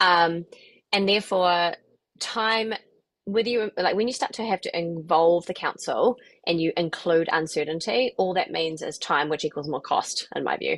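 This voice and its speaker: With a New Zealand accent, a woman speaks at a fairly low pitch with ordinary pitch variation. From New Zealand, New Plymouth. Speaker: property investment coach. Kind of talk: webinar presentation. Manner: fast.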